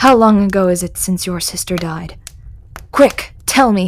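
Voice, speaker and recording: A woman does a put-on character voice at medium pitch. She keeps a moderate pace with ordinary pitch variation. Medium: read story.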